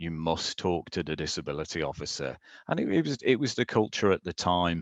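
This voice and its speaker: A man with a British accent speaks at a fairly quick pace, with a very deep, low pitch and lively intonation. The background is quiet, and the sound is dry and close with no echo. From UK. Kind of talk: conference presentation.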